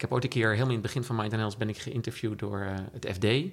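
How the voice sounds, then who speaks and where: In a very clean recording with a silent background, a man speaks at a medium pitch with ordinary pitch variation in a plain, everyday voice. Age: 50s. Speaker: entrepreneur. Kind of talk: interview. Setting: at the guest's home.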